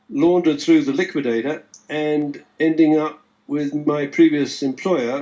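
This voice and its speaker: A man speaks at a moderate pace with a British accent. His pitch is fairly high. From England. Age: 70s. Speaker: forensic economist. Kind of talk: interview. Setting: live stream video call.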